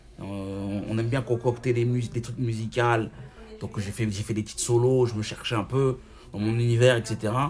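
Medium-pitched male speech at a moderate pace, monotone and flat, over noticeable background noise. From Paris suburbs, France. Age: 30s. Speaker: rapper and online show host. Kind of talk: casual interview. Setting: restaurant. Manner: talkative.

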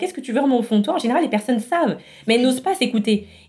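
A woman speaks in a dark, mellow tone with lively intonation. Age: 30s. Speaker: entrepreneur and former HR professional. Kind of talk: podcast interview.

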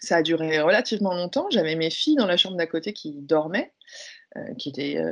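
A woman talks very fast at a medium pitch, her intonation lively. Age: 30s. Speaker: speaker and workplace wellbeing consultant. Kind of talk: testimony.

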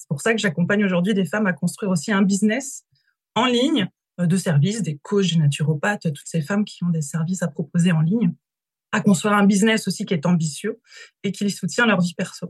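A woman speaks at a fairly quick pace in a medium-pitched, somewhat breathy voice with ordinary pitch variation. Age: 30s. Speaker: business coach. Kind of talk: interview.

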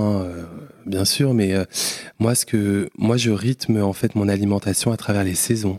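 Dry and close with no echo, the recording holds a man with an unremarkable speaking voice and a fairly low pitch. He speaks at a fairly slow pace with fairly even intonation. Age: 30s. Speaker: entrepreneur. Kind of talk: casual chat.

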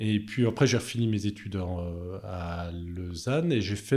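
A man with a dark, mellow tone and a somewhat breathy quality talks at a moderate pace with lively intonation. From Chablais, Haute-Savoie, France. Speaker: engineer and hydropower company founder. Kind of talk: podcast interview.

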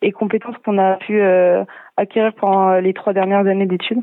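A woman talks with a monotone, flat intonation. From France, Lyon. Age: 20s. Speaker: military student nurse. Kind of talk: radio interview. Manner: hesitant, many fillers.

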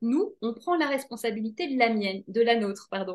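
A woman's voice swings very widely in pitch. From Belgium. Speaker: author. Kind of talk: interview.

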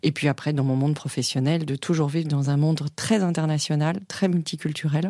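A dark, mellow tone with fairly even intonation on a very clean recording against a silent background. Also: woman. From Africa (expat childhood), schooled in France. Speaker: corporate lawyer. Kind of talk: interview.

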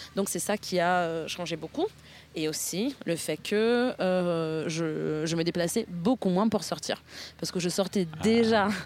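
A woman with a fairly low pitch speaks at a very slow pace, with ordinary pitch variation. Long, frequent pauses break up her speech. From northern Italy, near Milan. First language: Italian (speaking French). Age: 30s. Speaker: podcast guest. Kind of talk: interview conversation. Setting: outdoors in a park. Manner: hesitant, many fillers.

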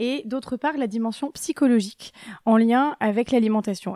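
On a very clean recording with a silent background, a woman with a dark, mellow tone speaks at a fairly slow pace with ordinary pitch variation, the sound dry and close with no echo. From Brittany, France. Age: 30s. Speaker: dietitian. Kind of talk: interview. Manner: gentle.

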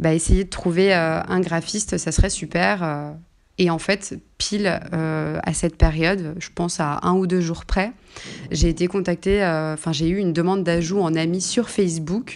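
This woman's voice sits fairly low in pitch, and her intonation stays fairly even. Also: quiet background. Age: 20s. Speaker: childcare assistant on parental leave. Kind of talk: interview about her personal story. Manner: hesitant, many fillers.

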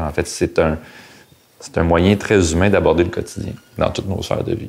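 A man with a Quebec accent speaks with a very deep, low pitch and fairly even intonation. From Quebec, Outaouais (Hull). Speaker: former business professional. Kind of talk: interview. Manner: halting.

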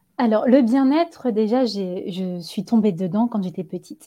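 The voice has a dark, mellow tone, somewhat breathy, with ordinary pitch variation at a fairly slow pace. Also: woman. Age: 30s. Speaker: yoga teacher and wellness practitioner. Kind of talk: casual interview. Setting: podcast recording.

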